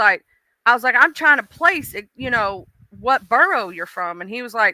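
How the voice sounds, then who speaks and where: In an American accent, a woman speaks in a raised, projected voice with an animated, bright, sharp tone and lively intonation, captured as a dry, close sound without echo on a very clean recording with a silent background. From US South. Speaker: live streamer. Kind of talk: casual chat. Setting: live stream.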